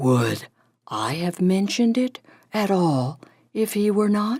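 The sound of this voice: Booming and fairly slow, a female-sounding put-on character voice delivers the lines. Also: medium pitch for a woman.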